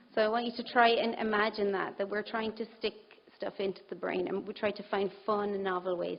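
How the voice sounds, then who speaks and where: The pace is fairly quick. The voice stays monotone, its intonation flat. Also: woman. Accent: Irish. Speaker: conference speaker on brain health. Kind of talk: presentation.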